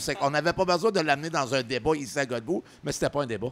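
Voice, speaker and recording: The man's pitch sits fairly high. He talks very fast. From New Brunswick, Canada. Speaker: podcast co-host. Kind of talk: casual chat.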